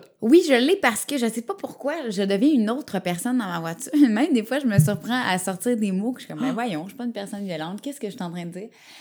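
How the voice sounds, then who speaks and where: A woman with a Quebec accent at a fairly high pitch, very fast, with lively intonation and big swings in loudness. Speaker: radio host. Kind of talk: casual chat.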